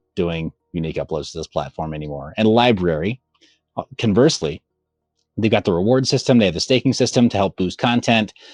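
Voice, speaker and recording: A man's fairly low voice with lively intonation, dry and close with no echo, over music in the background. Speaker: crypto mining content creator. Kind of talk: casual interview chat. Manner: slightly slurred speech.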